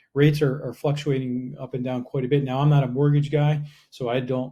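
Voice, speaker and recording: With an American accent, a somewhat breathy man speaks very fast in a dark, mellow tone at a medium pitch, his intonation monotone and flat. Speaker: real estate agent. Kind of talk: market update video.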